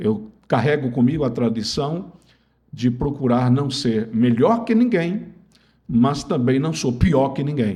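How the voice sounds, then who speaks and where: A man speaks at a fairly slow pace and medium pitch, somewhat breathy with a dark, mellow tone, in a room with audible echo. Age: 70s. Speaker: lawyer and former politician. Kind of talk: interview.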